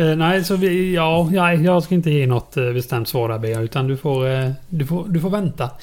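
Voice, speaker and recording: In a Småland accent, a man with a fairly high pitch speaks at a moderate pace with ordinary pitch variation and hardly any pauses. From Småland, Sweden. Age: 30s. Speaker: podcast co-host. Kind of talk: casual chat.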